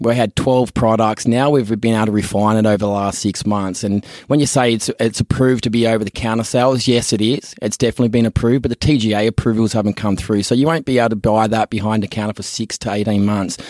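Speaking at a very fast pace with hardly any pauses, a man with an Australian accent uses a medium pitch and fairly even intonation in a very clean recording with a silent background and a dry, close sound with no echo. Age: 30s. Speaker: podcast co-host, business founder. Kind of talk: casual chat.

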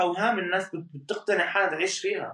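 Raising and projecting his voice, a man speaks with a Jordanian accent at a moderate pace. His pitch is high and his intonation lively. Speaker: social media influencer. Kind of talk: interview. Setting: apartment.

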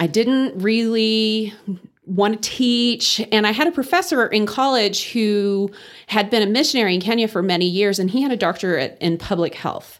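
A woman's medium-pitched voice with an American accent, lively intonation and a moderate pace. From Texas Panhandle. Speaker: guest, refugee health worker. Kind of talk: casual interview chat.

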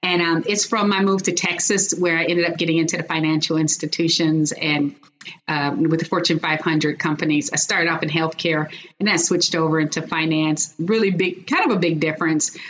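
A woman with an American accent speaks at a fairly quick pace with fairly even intonation and very even loudness over noticeable background noise. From Chicago, US Midwest. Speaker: corporate executive and author. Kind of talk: interview.

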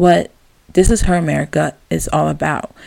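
A woman's fairly slow delivery. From US, Maryland. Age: 20s. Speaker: podcast host. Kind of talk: solo podcast monologue.

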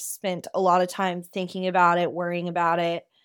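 Very clean recording with a silent background, featuring a woman's fairly low pitch at a moderate pace. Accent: Kentucky. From Kentucky. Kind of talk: personal monologue.

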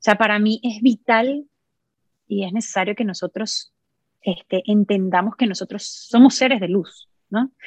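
With a Venezuelan accent, a woman speaks fairly slowly in a fairly high, somewhat breathy voice with fairly even intonation, recorded in a dry, close sound with no echo. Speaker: musician and sound therapist. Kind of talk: casual interview conversation.

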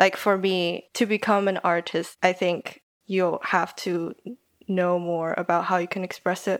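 On a very clean recording with a silent background, a woman with a Taiwanese accent speaks fairly slowly at a medium pitch. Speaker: podcaster and design student. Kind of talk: casual interview chat.

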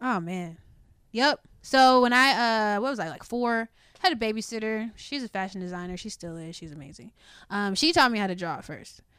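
On a very clean recording with a silent background, a woman speaks at a medium pitch with an American accent. She has a plain, everyday voice, ordinary pitch variation and a moderate pace. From Baltimore, Maryland. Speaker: guest. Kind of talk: casual chat.

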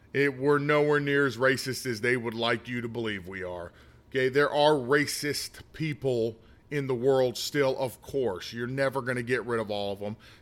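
Here a man speaks with an American accent at a medium pitch. His pace is moderate and his pitch varies in an ordinary way. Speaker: political commentator. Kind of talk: opinion monologue. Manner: halting, with many fillers.

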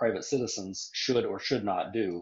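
Here is a man with an American accent and an unremarkable speaking voice. He keeps a moderate pace at a medium pitch. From Nebraska, US Midwest. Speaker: western and crime author. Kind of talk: casual interview; reading aloud from own book.

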